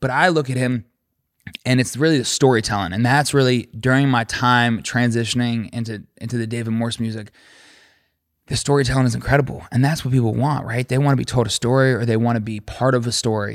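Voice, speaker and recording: A normal speaking voice with fairly even intonation on a very clean recording with a silent background. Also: man, medium pitch for a man, fairly quick pace. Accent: American. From West Virginia, Charleston. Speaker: musician. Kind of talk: casual chat. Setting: studio.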